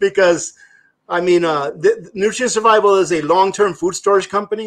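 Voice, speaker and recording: A man with a slight Spanish accent speaks at a moderate pace in a high voice, his intonation fairly even. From immigrated to US at age three from a Spanish-speaking country. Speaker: prepping guest. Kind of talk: casual chat. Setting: live stream.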